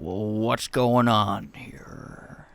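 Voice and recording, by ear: A man speaks in a put-on character voice. His pitch sits fairly low and moves with ordinary variation.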